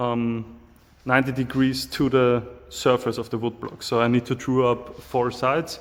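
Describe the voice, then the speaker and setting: A man with an Austrian accent at a fairly slow pace. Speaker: knife maker. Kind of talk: casual talk to camera, workshop tour. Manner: hesitant, many fillers. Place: workshop. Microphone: phone near.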